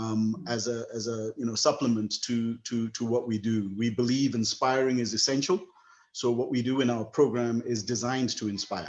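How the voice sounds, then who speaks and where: Here a man talks at a medium pitch. His intonation is fairly even. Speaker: program founder and webinar host. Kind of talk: closing remarks in online webinar. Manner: fast.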